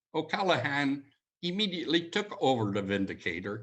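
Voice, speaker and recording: A man speaks with a Montreal accent at a moderate pace. His intonation is lively. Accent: Canadian English (Montreal). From Montreal, Canada. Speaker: community leader, retired security executive. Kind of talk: history lecture. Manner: casual, conversational.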